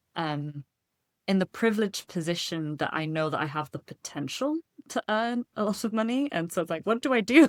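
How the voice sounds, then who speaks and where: On a very clean recording with a silent background and a dry, close sound with no echo, a woman with a British accent talks at a fairly quick pace, her medium pitch making very wide swings. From United Kingdom. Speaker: seminary student. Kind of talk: casual interview.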